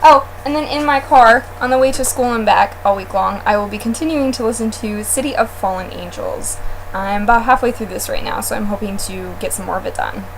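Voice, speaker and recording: A woman speaks at a fairly quick pace with hardly any pauses. Noticeable background noise runs underneath. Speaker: book blogger. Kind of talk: casual chat. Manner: loud.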